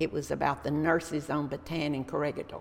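A woman's very deep, low voice in a Texan accent, at a moderate pace. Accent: Texan Southern US. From Texas, Dallas. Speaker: local historian and retiree. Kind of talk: interview, life story.

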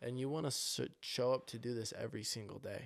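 A man speaks at medium pitch and a moderate pace with fairly even intonation. The recording is very clean, the background silent. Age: 20s. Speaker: podcast host. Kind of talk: motivational monologue.

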